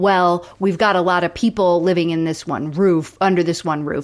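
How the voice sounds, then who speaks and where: With an American accent, a woman of medium pitch uses an ordinary speaking voice at a moderate pace. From Florida. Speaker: podcast co-host. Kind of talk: casual chat.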